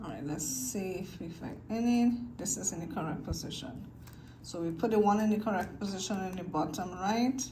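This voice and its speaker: A medium-pitched woman at a moderate pace with lively intonation and big swings in loudness, plus noticeable background noise and audible room echo. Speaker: video creator teaching cube solving. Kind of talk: tutorial. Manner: casual, halting with fillers.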